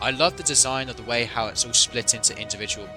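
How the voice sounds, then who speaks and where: Over music in the background, a man with a British accent talks with ordinary pitch variation. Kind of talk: unscripted commentary video. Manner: hesitant, stuttering at times.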